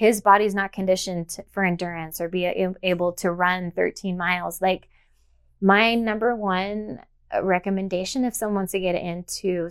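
Over a silent background in a very clean recording, a woman speaks at a moderate pace with fairly even intonation. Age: 40s. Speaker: elite obstacle racer and personal trainer. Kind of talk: interview.

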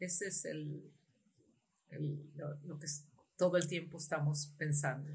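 In a room with audible echo, a woman with a very deep, low pitch speaks in a monotone, flat way with vocal fry and long, frequent pauses. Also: fairly slow pace. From Uruguay, lived in Chile, Argentina, US and Mexico. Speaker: tech company CEO. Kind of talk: interview. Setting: video call. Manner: halting.

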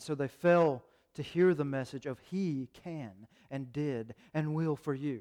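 A man's fairly high voice with a dark, mellow tone, fairly slow pace and ordinary pitch variation. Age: 30s. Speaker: pastor. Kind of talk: sermon. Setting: church. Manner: halting.

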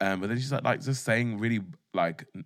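The man talks in an animated tone with ordinary pitch variation. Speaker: podcast host. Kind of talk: casual chat. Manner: animated, bantering.

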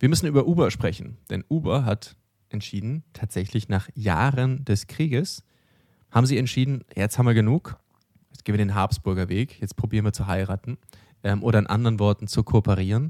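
Recorded very cleanly against a silent background, a man speaks with a dark, mellow tone and a fairly low pitch. His pace is fairly quick, his pitch varies in an ordinary way, and the sound is dry and close with no echo. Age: 40s. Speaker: startup news podcast host. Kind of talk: casual news chat.

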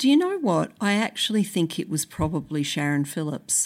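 In a very clean recording with a silent background, a woman with an Australian accent talks at a moderate pace, her pitch swinging very widely. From Brisbane, Australia. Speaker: author and sociologist. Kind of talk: interview; reading aloud.

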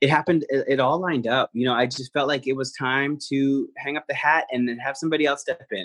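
A man talks at a very fast pace with a New Jersey accent. His medium-pitched voice shows ordinary pitch variation. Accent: American (New Jersey). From New Jersey, US. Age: young. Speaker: Broadway actor. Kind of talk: interview, casual chat.

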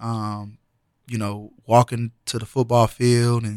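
Very slowly and in a flat monotone, a man with an American accent speaks at a medium pitch, the sound dry and close with no echo in a very clean recording with a silent background. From US Midwest, Danville, Illinois. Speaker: physical education teacher. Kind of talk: casual chat. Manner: halting, many fillers.

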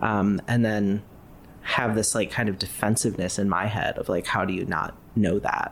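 Speaking with an American accent, a man has a fairly low pitch and a monotone, flat intonation. His pace is moderate. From US Midwest, Ohio. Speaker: graphic designer. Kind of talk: casual interview.

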